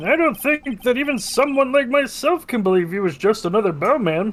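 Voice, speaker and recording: Using a put-on character voice, the speaker goes at a fairly quick pace with a fairly high pitch. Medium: fan dub.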